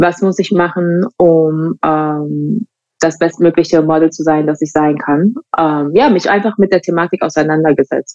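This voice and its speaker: A woman with fairly low pitch, fairly even intonation and a fairly slow pace. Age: 20s. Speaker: fashion model. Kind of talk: podcast interview. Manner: hesitant, many fillers.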